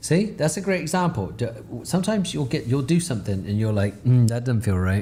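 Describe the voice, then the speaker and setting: A man speaks fairly quickly at medium pitch, somewhat breathy and dark, mellow in tone, with very wide pitch swings. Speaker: digital artist. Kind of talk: live tutorial. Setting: live stream. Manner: fast; casual, halting.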